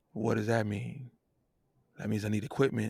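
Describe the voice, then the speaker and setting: Over a silent background in a very clean recording, a man with vocal fry talks at a fairly quick pace with ordinary pitch variation and a dry, close sound with no echo. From New Jersey. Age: 40s. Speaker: singer and producer. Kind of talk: podcast interview. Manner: animated.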